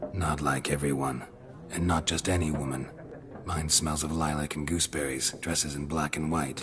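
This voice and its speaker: A cartoonish character voice talks at a moderate pace. Background noise is clearly audible. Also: man, very deep, low pitch for a man. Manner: terse, gruff.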